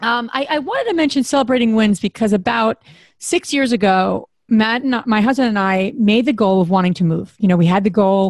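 A woman with an unremarkable speaking voice, fairly high pitch, ordinary pitch variation, very even loudness, and a fairly quick pace. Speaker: podcast co-host. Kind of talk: casual interview.

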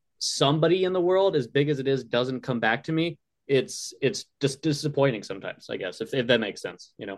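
This man has a normal speaking voice at a fairly high pitch. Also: fairly quick pace. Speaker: podcast co-host. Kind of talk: casual interview.

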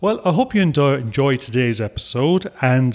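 A man with an Irish accent and ordinary pitch variation. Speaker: podcast host. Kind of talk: casual chat.

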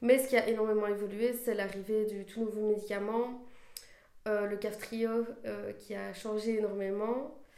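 Audible room echo surrounds a woman with a dark, mellow tone. She speaks at a fairly slow pace in a monotone, flat way. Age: 20s. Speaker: after-school childcare worker. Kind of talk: testimony. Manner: halting, many hesitations.

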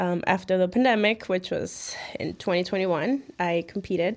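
With a Chicago accent, a woman talks at medium pitch and a moderate pace, using ordinary pitch variation. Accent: Chicago American English. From Chicago, West Town and Midway area. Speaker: personal trainer. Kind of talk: interview.

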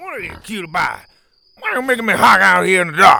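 Putting on a character voice, a man sounds gravelly and gruff with vocal fry, using a high pitch, a bright, sharp tone and big pitch swings. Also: fairly quick pace.

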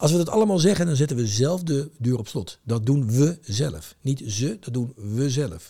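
With very wide pitch swings around a medium pitch, a man speaks in a dark, mellow, somewhat breathy tone at a moderate pace, with hardly any pauses. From Rotterdam, Netherlands. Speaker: trade association chairman. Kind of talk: casual interview.

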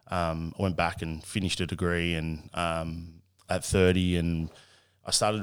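Very deep and low in pitch, a man speaks with an Australian accent. His intonation is fairly even, and the recording is very clean with a silent background. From Australia, Cessnock NSW. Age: 30s. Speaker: athlete manager and podcaster. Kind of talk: casual interview.

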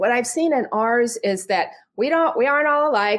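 With a normal speaking voice, a woman talks at a fairly high pitch and a moderate pace with lively intonation, on a very clean recording with a silent background. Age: 60s. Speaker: communication coach for moms. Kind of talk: interview.

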